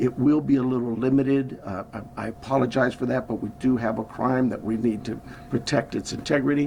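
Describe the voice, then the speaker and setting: A man with an American accent at a medium pitch and moderate pace, fairly even intonation, and noticeable background noise. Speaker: sheriff. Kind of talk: press conference. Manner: soft-spoken; halting.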